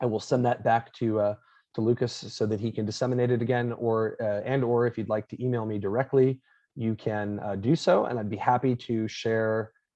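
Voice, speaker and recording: With a slight Long Island accent, a man speaks at a fairly quick pace using fairly even intonation. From Florida. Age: 30s. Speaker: professor. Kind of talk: lecture.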